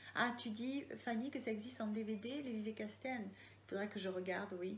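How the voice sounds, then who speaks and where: A woman with a Marseille accent, fairly high in pitch, at a moderate pace with ordinary pitch variation and audible room echo. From Marseille area, southern France. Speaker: crime novelist. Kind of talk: live Q&A. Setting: online live video. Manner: hesitant, many fillers.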